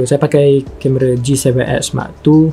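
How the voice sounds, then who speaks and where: A man speaks at a very slow pace in a fairly high pitch. Noticeable background noise is present. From Malaysia, Kelantan. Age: 20s. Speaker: youtuber. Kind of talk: casual Q&A.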